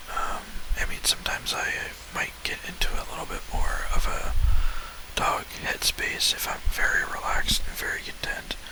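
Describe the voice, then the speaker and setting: Whispering with long, frequent pauses over noticeable background noise. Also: moderate pace. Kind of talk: ASMR talk. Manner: whispered, soft-spoken.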